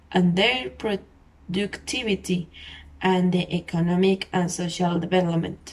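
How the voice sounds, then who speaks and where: Speaking with a Spanish accent, a woman uses a fairly low, somewhat breathy voice at a fairly slow pace with ordinary pitch variation. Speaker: podcast host. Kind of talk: solo podcast monologue. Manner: halting.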